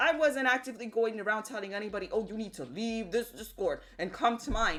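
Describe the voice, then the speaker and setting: Animated in tone, a woman with a fairly high pitch talks at a fairly quick pace with ordinary pitch variation. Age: 30s. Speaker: streamer. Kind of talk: live stream rant.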